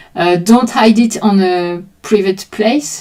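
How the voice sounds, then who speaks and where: A woman with a French accent, very slow pace and fairly even intonation. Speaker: art teacher streaming drawing sessions. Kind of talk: live stream explanation to chat. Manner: halting.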